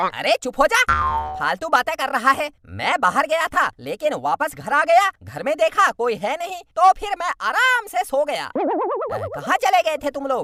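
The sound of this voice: In a cartoonish character voice, the speaker goes at a moderate pace with hardly any pauses while sound effects play in the background.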